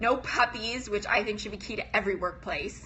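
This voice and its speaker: This woman talks at a medium pitch and a moderate pace. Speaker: business coach. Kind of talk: live stream talk to viewers. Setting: live video stream.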